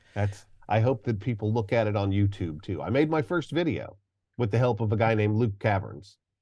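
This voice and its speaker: A man's somewhat breathy, fairly low voice at a fairly quick pace. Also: ordinary pitch variation, quiet background. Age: 50s. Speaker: archaeologist and educator. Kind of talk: interview. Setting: remote call.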